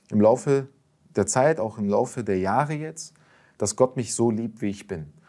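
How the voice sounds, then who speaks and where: A man with a dark, mellow tone uses lively intonation at a moderate pace against a quiet background. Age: young. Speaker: convert sharing faith story; interview guest. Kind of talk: testimony. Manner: halting with many fillers. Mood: calm, reflective, personal. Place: studio. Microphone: lapel.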